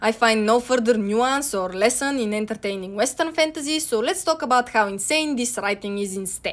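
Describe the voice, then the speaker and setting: Against noticeable background noise, a woman with a Bulgarian accent talks at a moderate pace. Her pitch is fairly high and her intonation lively. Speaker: video essayist. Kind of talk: video essay narration.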